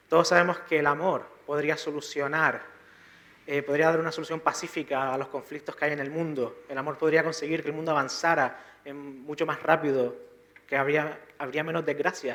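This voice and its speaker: A soft-spoken man talks at a fairly high pitch. His intonation is monotone and flat. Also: moderate pace. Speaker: preacher. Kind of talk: sermon.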